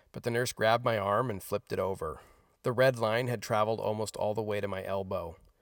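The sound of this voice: This clip features an unforced reading voice.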